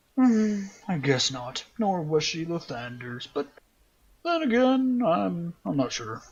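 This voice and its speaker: A man's put-on character voice, high for a man, at a very slow pace with very wide pitch swings. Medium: actual play. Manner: smug, mocking.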